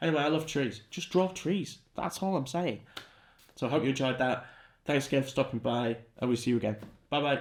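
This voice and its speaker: An animated man with a British accent, fairly quick pace, long and frequent pauses, and a very clean recording over a silent background. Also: medium pitch for a man, ordinary pitch variation. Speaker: art teacher. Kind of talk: tutorial. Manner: fast.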